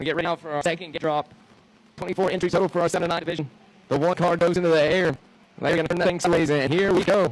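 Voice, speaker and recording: Over noticeable background noise, a man with an American accent speaks very fast in a high, monotone, flat voice. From Georgia, US. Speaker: motocross race announcer. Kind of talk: live commentary. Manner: distinctive.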